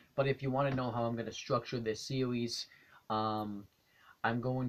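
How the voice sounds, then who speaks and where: A man talks quietly at a moderate pace. His medium pitch stays fairly even in intonation. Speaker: youtuber reading books aloud. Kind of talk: casual vlog intro. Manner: quiet, hushed; hesitant, many ums.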